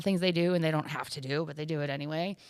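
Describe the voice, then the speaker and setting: A woman talks with an American accent and ordinary pitch variation. The recording is very clean, with a silent background. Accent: Philadelphia accent, mostly trained away. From Philadelphia area, US. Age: 30s. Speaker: comedian. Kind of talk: casual chat.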